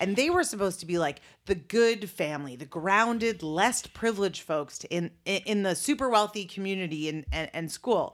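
A woman with an unremarkable speaking voice talks at a moderate pace and medium pitch. Her intonation is lively, on a very clean recording with a silent background. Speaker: podcast host. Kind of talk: casual comedic banter between a couple. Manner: playful, joking.

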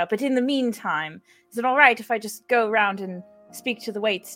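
The pitch varies an ordinary amount in this plain reading aloud.

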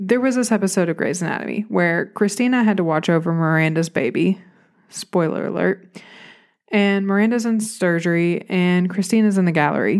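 Speaking at a fairly quick pace with a Southern US accent, this voice holds a very even loudness on a very clean recording with a silent background. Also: woman, medium pitch for a woman, ordinary pitch variation. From Arkansas, US South. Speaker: therapist and podcaster. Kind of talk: solo podcast storytelling. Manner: casual, chatty, self-deprecating.

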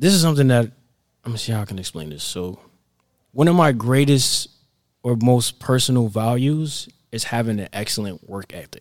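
Speaking in a normal speaking voice with an American accent, a man talks at a medium pitch and moderate pace, his intonation lively and his loudness swinging widely. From Florida. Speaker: entrepreneur and personal development coach. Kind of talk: podcast interview.

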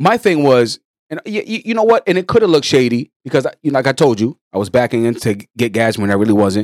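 Very fast speech with very wide pitch swings, in a dry, close sound with no echo. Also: man, medium pitch for a man. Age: 30s. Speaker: podcast co-host. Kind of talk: casual chat.

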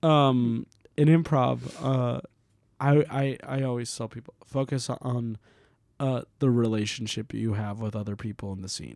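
In an American accent, a man with an unremarkable speaking voice talks at a fairly slow pace and medium pitch, with ordinary pitch variation and big swings in loudness. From Puerto Rico, raised partly in Florida. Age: 20s. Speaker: comedian. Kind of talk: casual chat.

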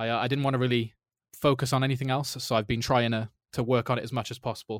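An English accent at a very fast pace, fairly even intonation, a dry, close sound with no echo and a very clean recording with a silent background. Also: man. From England. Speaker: indie game developer. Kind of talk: interview.

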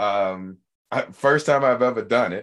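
Animated and enthusiastic, a man speaks at medium pitch with lively intonation. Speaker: podcast host. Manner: animated, enthusiastic.

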